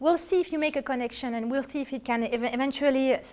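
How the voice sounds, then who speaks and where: Talking at a fairly quick pace, a woman with a French accent uses a high pitch and ordinary pitch variation. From France. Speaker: artist giving art history talks. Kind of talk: lecture with audience questions. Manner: halting, with many self-corrections.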